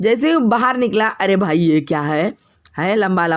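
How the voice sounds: With lively intonation, the text is read in a natural reading voice.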